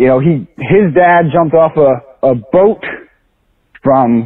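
Speaking with an American accent, a man has an unremarkable speaking voice at a fairly high pitch. He uses lively intonation at a fairly slow pace. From US inner city. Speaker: caller. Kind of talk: recorded voicemail call. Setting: phone call.

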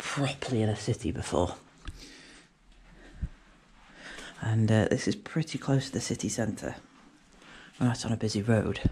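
Long, frequent pauses in a somewhat breathy voice with ordinary pitch variation, over light background noise. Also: man. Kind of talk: casual vlog commentary. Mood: nervous, on edge. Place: factory. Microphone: phone near.

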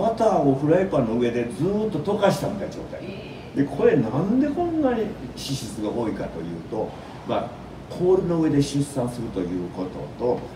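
Noticeable background noise surrounds a voice with a Kansai accent and very wide pitch swings. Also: man, fairly high pitch for a man. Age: 80s+. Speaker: radio host. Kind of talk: community radio talk show. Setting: radio studio. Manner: fast, chatty. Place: studio.

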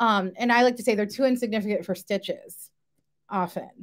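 A woman's unremarkable speaking voice, fairly high in pitch with ordinary pitch variation, at a moderate pace over a quiet background. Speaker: university residence life director. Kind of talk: panel discussion. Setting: video call. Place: home room.

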